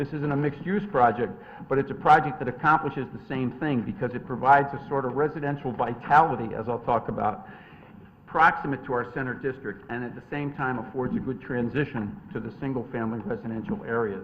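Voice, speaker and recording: An ordinary speaking voice from a man, medium in pitch with ordinary pitch variation, at a fairly quick pace with big swings in loudness. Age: 60s. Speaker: attorney presenting a development application. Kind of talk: formal presentation at a zoning hearing. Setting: town commission meeting.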